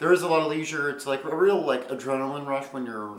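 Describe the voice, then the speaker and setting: A man's fairly even intonation carries audible echo from the room. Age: 20s. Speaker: robot combat competitor and video creator. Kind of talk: interview. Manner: hesitant, many fillers.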